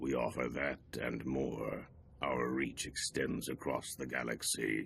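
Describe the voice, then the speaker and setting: A man puts on a raspy character voice, pitched very deep and low, speaking at a fairly slow pace. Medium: video game.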